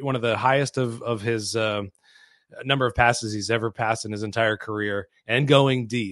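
Over a quiet background, a man speaks at medium pitch and a moderate pace with fairly even intonation. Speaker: sports radio co-host. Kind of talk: sports talk show. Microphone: new microphone.

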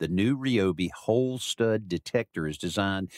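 With lively intonation and a moderate pace, a man with an unremarkable speaking voice talks at a fairly low pitch in a very clean recording with a silent background and a dry, close sound with no echo. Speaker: radio host. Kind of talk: radio host patter. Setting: studio. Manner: upbeat, breezy, conversational.

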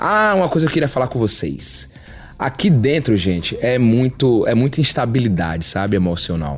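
A man talks at a moderate pace and medium pitch, with very wide pitch swings and very even loudness. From Salvador, Bahia, Brazil. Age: 30s. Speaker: reality show contestant. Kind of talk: casual monologue to camera.

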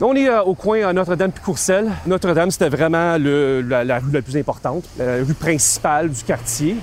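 With a Quebec accent and a fairly high pitch, a man talks at a moderate pace with hardly any pauses over noticeable background noise. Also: lively intonation. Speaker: historian and university lecturer. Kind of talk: interview. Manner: hesitant, many fillers.

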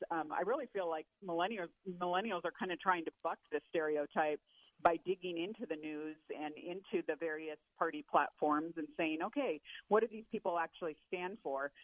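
A woman with an ordinary speaking voice talks at a moderate pace, fairly low in pitch and with ordinary pitch variation. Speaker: policy analyst. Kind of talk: interview.

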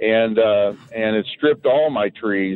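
In a normal speaking voice, a man talks with a fairly low pitch and fairly even intonation. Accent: American. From Missouri. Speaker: caller, military veteran. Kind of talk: radio call-in question. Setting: phone call.

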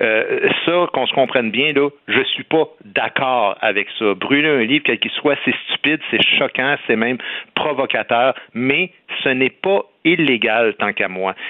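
At a fairly slow pace, a plain, everyday voice keeps a very even loudness with ordinary pitch variation. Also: man, medium pitch for a man. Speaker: comedian and commentator. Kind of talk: radio debate.

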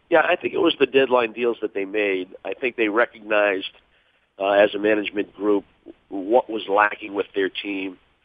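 A man with an American accent uses a normal speaking voice, fairly low in pitch, at a moderate pace with ordinary pitch variation. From Boston area. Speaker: hockey broadcaster and former player. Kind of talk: phone interview.

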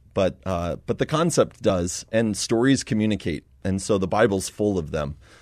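With an ordinary speaking voice, a man talks at a moderate pace with hardly any pauses, using lively intonation at a fairly low pitch against a quiet background. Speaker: missionary. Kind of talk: interview.

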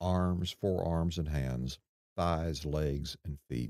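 A man speaks fairly slowly with a very deep, low pitch, a dark, mellow tone and ordinary pitch variation. The recording is very clean, with a silent background and a dry, close sound with no echo. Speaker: true crime reporter. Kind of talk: true crime narration, scripted. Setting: studio. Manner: grave, measured, deliberate; dramatic, detached reportorial delivery.

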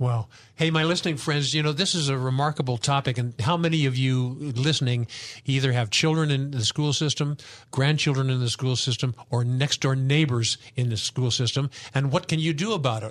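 A man in an ordinary speaking voice talks at a fairly quick pace with medium pitch, ordinary pitch variation and very even loudness. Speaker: radio host and Bible teacher. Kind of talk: radio talk show. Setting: studio.

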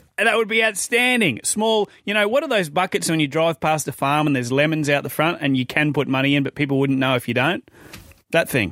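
Dry and close with no echo, a man's bright, sharp voice runs at a fairly quick pace and a fairly high pitch, with very wide pitch swings. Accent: Australian. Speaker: radio host. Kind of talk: casual chat. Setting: studio.

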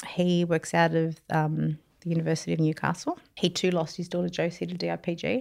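A woman's fairly low voice at a moderate pace. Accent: Australian. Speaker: charity founder, bereaved mother. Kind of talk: interview, emotional personal story. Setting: studio, on a couch.

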